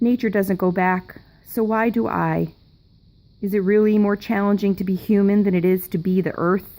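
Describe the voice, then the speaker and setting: At a moderate pace, a woman with a medium pitch speaks in a dark, mellow tone with fairly even intonation. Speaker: poet. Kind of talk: poetry reading.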